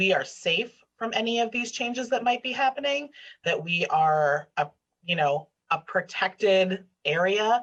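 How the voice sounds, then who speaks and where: A woman speaks at a fairly slow pace, her intonation lively. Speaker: state legislator. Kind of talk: online panel discussion.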